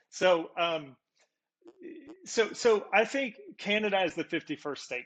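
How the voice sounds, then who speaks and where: A man with a Texan accent and lively intonation, against a quiet background. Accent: Texan American. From Texas. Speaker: podcast guest. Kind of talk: casual chat.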